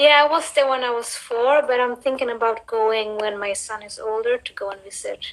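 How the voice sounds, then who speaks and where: A woman's high-pitched voice at a moderate pace, with big swings in loudness, hardly any pauses, and noticeable background noise. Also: fairly even intonation. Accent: Swedish. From Sweden. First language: Cape Verdean Creole. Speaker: interview guest. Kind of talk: casual chat.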